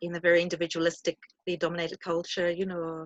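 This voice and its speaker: Fairly quick speech with a South African accent. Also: woman. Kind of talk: panel discussion.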